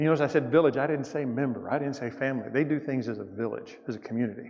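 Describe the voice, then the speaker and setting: Speaking very fast, a man with a Southern US accent uses a medium pitch with ordinary variation. Audible room echo surrounds his voice. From US South. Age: 60s. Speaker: missionary speaker. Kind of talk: church mission presentation. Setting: church. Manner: casual, halting.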